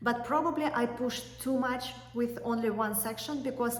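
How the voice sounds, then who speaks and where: A woman with a non-native accent, moderate pace and fairly even intonation, amid noticeable background noise and audible room echo. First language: not English. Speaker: YouTuber, law school applicant. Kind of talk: tutorial. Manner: hesitant with fillers.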